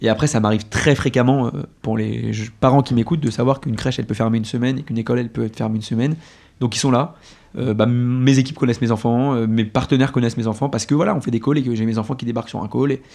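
This man talks at a very fast pace with a dark, mellow tone, medium pitch and ordinary pitch variation. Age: 30s. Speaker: business development lead at a food delivery company. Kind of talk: interview.

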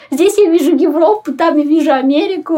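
A woman speaks over noticeable background noise. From Ukraine, Kryvyi Rih. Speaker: tour guide and photographer. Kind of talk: interview.

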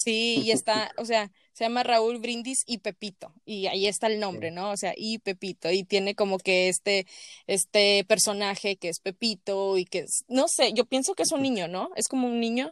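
Speaking with a Mexican accent, a woman uses a fairly high pitch, ordinary pitch variation and a moderate pace, in a dry, close sound with no echo and a quiet background. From Mexico. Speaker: podcast host. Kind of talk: casual chat. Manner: animated.

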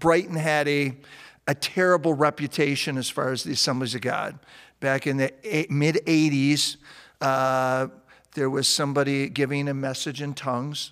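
A man with a plain, everyday voice speaks at a moderate pace and fairly high pitch with fairly even intonation, on a very clean recording with a silent background. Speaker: pastor. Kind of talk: testimony.

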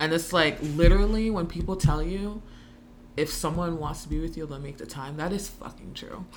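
A woman talks at a moderate pace and fairly low pitch, with ordinary pitch variation. Her loudness swings widely, and music plays in the background. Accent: American. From Long Island, New York. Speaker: podcast guest. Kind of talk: casual chat.

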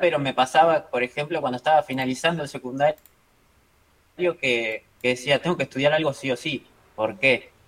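A man speaks in an ordinary speaking voice at a moderate pace. His pitch variation is ordinary. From Argentina. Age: 20s. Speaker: trader and trading mentor. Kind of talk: casual interview chat.

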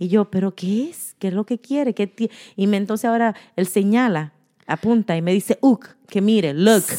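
Speaking at a moderate pace in a Spanish accent, a woman has a medium pitch, ordinary pitch variation, and a dark, mellow tone, recorded with a dry, close sound and no echo. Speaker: podcast co-host. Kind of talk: casual chat.

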